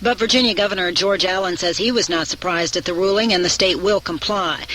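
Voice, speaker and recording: The speech goes at a very fast pace. Background noise is noticeable. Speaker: network radio newscaster. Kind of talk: radio news bulletin read.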